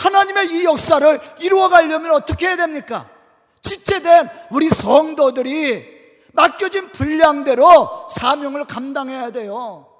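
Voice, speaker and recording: This man's pitch is extremely high. He talks at a fairly slow pace. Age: 50s. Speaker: pastor. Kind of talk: sermon. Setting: church.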